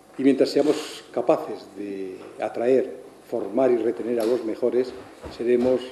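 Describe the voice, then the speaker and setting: With noticeable background noise behind him, a man talks at a fairly slow pace with long, frequent pauses and fairly even intonation. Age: 70s. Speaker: astrophysicist, research centre director. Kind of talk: farewell speech.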